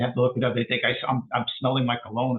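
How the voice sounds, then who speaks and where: At a very fast pace, a man speaks in a medium pitch. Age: 60s. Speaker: poet. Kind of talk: poetry reading with commentary. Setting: online talk. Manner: halting.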